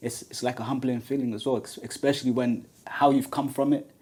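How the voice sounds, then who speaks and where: With a London accent, the voice has a dark, mellow tone and moves at a fairly quick pace. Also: man. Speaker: podcast host. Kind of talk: podcast interview. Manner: halting, many fillers.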